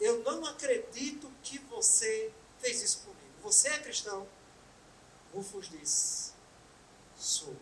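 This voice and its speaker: With a northeastern Brazilian accent, a woman speaks at a high pitch with very wide pitch swings, a very slow pace and long, frequent pauses, amid noticeable background noise and audible room echo. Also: big swings in loudness. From Brazil, Pernambuco (Bom Jardim). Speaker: spiritist lecturer. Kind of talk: lecture.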